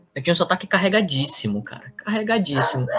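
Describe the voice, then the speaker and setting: A man's high-pitched voice, fairly quick, with lively intonation. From northern Brazil, Pará. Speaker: returned missionary. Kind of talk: casual interview storytelling. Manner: animated.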